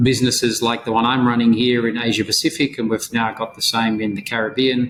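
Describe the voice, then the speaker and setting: In an Australian accent, a man speaks at a fairly quick pace with monotone, flat intonation. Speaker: insolvency and restructuring advisor. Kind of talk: podcast interview.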